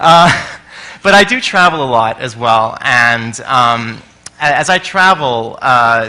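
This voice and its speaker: A man with an American accent at medium pitch, lively intonation and a very slow pace, over noticeable background noise. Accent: sounds American. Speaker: conference speaker, experience designer. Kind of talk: conference talk. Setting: stage with audience. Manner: energetic and loud.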